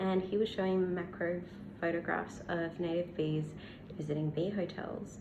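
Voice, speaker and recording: A woman with an Australian accent and a fairly low voice speaks at a moderate pace in monotone, flat intonation with very even loudness. Noticeable background noise and audible room echo are present. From Australia, Western Australia. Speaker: bee scientist and science communicator. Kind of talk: casual Q&A to camera. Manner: hesitant with many fillers.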